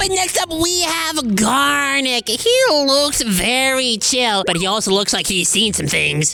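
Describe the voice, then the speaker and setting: A female-sounding, cartoonish character voice speaks at a fairly slow pace and a high pitch. Background noise is clearly audible. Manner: jokey, offhand.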